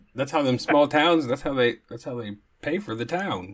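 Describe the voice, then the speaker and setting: A man with an American accent speaks at a moderate pace and medium pitch in a normal speaking voice. The recording is very clean, with a silent background. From Oklahoma. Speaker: podcast host. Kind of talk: casual chat.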